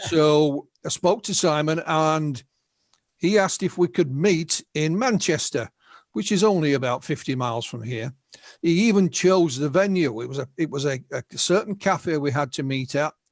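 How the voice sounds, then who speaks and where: A man with a northern English accent speaks with lively intonation. His pitch is fairly high. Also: moderate pace. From northern England. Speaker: UFO researcher and writer. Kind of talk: interview storytelling. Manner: halting, repeats words.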